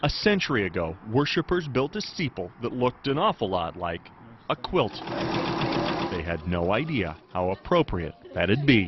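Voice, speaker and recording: Very wide pitch swings at a fairly slow pace, with noticeable background noise. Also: man, medium pitch for a man. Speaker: TV news reporter. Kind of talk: TV news feature narration.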